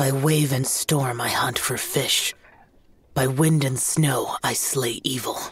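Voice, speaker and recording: This is a put-on character voice. It sits at a low-to-middle pitch and moves at a fairly slow pace. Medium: video game. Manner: terse, reserved.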